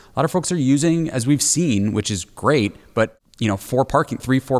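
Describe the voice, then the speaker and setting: The recording is very clean with a silent background, carrying a man's unremarkable speaking voice at a medium pitch with lively intonation. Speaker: restaurant industry team member. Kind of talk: casual discussion. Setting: makeshift studio.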